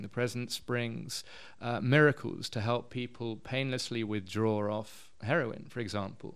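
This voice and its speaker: Speaking with a southern English accent, a man keeps a medium pitch, a fairly slow pace and fairly even intonation. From London, England. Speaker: missionary and community worker. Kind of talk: interview.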